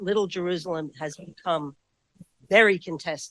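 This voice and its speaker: A woman with a New York accent speaks at a moderate pace with ordinary pitch variation, the sound dry and close with no echo. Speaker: historian. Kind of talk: audience question at book talk.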